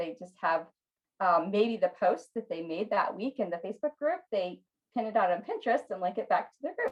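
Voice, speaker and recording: Using a plain, everyday voice, a woman talks at a fairly quick pace with medium pitch and lively intonation. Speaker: Pinterest marketing expert and online business owner. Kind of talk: online training session.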